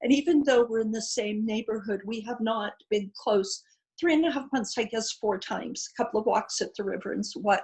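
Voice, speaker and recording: A woman's fairly high, somewhat breathy voice at a fairly quick pace with ordinary pitch variation. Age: 60s. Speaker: participant in online women's circle, retired educator. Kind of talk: personal sharing in group video call.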